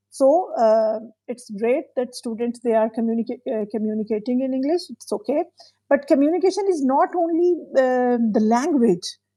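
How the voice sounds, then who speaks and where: Using lively intonation, a woman with a high pitch and a dark, mellow tone speaks at a moderate pace. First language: not English. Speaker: podcast host. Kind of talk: interview conversation. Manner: halting.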